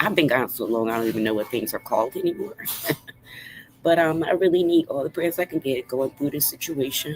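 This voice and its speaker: Over noticeable background noise, a woman with a very deep, low pitch speaks at a fairly quick pace with lively intonation. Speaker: livestreamer. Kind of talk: casual livestream talk. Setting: livestream at cousin's house.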